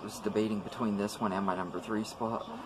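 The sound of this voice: The words come at a fairly quick pace with fairly even intonation. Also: man.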